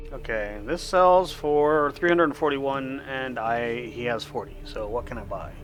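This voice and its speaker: Hardly pausing, a man with an American accent speaks at a moderate pace amid audible room echo. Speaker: game streamer. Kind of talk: live gameplay commentary. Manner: casual, chatty.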